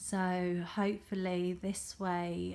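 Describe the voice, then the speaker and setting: Quiet and flat, a woman talks in a monotone. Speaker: tarot reader. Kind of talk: tarot reading monologue. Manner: halting, many fillers.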